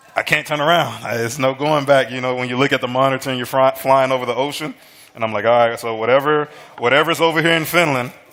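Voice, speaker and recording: A man with an American accent at a very fast pace, medium in pitch with fairly even intonation, over noticeable background noise. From US South, Alabama. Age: 30s. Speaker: American football head coach. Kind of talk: casual chat. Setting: studio kitchen with live audience.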